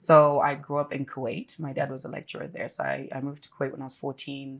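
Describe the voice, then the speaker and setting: A woman talks at a very fast pace with a very deep, low pitch. The recording is very clean, with a silent background. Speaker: businesswoman's wife, interview guest. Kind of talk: interview. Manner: animated, casual with many fillers.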